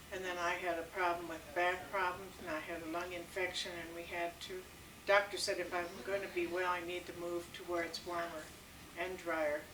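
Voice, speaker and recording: Amid noticeable background noise and audible room echo, a woman with an American accent speaks at a moderate pace in a monotone, flat intonation. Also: fairly low pitch for a woman. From Minnesota. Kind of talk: casual family interview. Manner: hesitant.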